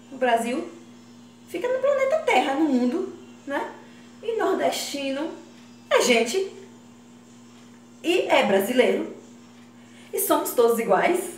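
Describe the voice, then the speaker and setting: In a northeastern Brazilian accent, a woman speaks very slowly at a high pitch, with long, frequent pauses, very wide pitch swings and audible room echo. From Northeast Brazil. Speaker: comedy vlogger. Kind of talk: casual talk to camera. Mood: proud, playful. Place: bathroom.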